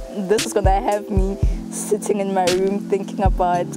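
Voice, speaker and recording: A woman at a moderate pace, loud music behind her, dry sound with no echo. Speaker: university student. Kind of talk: documentary interview answer. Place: street.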